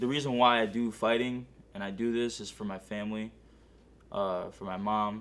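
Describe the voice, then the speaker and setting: An American accent marks this man's speech, delivered at a fairly low pitch in a monotone, flat intonation. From US Northeast (Connecticut) and California. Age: 20s. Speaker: amateur MMA fighter. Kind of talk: documentary interview. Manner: casual, filler-heavy.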